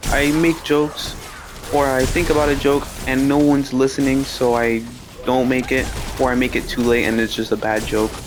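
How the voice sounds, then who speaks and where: Soft-spoken man at a moderate pace, medium in pitch, with fairly even intonation and music in the background. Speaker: gaming streamer. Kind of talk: casual storytelling.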